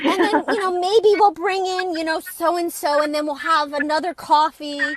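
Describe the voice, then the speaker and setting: A woman with a New York accent speaks at an extremely high pitch, and the sound is dry and close with no echo. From New York area, US East Coast. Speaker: author. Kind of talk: interview.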